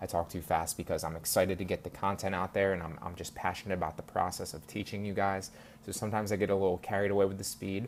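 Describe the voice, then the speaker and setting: The speaker talks at a very fast pace. The intonation is monotone and flat. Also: man, fairly low pitch for a man. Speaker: online course instructor. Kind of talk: course lecture, direct address to students. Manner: halting, many fillers and repeats.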